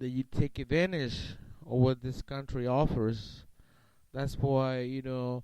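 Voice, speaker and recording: At a fairly slow pace, a man speaks at medium pitch with monotone, flat intonation and a dark, mellow tone. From Mexico. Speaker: interviewee, immigrant father. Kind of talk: casual interview. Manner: halting, many fillers.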